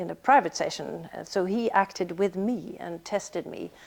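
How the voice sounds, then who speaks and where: A woman with a Swedish accent at a fairly slow pace. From Sweden. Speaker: actress. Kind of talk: interview. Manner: halting.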